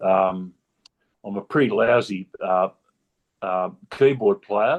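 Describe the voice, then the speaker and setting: He speaks with an Australian accent. The speaker is male. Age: 70s. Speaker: patient with optic neuropathy. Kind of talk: personal testimony in a video discussion. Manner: halting, many fillers.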